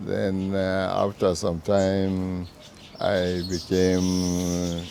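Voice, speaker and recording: A man with a northern Nigerian accent speaks in a very deep, low pitch and a flat monotone, with noticeable background noise behind him. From northern Nigeria, Zaria area. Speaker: veteran journalist and former politician. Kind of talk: interview.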